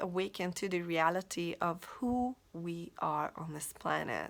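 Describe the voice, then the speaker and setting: A woman's medium-pitched voice in a Hungarian accent, with lively intonation and a fairly slow pace, on a very clean recording with a silent background. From Hungary. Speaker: life coach. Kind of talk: motivational talk. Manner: halting, with frequent repetitions.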